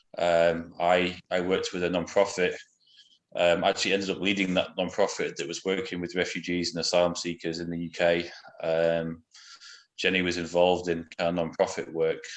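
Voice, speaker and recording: In a very deep, low voice, a man speaks at a fairly quick pace with monotone, flat intonation over a quiet background. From England. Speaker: missionary. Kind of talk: interview. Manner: hesitant, many fillers.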